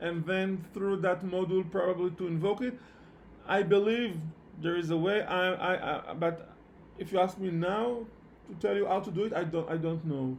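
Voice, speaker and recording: Delivered at a moderate pace with fairly even intonation, the speech carries a non-native accent and audible room echo. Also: man, high pitch for a man. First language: not English. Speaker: programming instructor. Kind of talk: online lecture. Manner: halting, many repetitions and fillers.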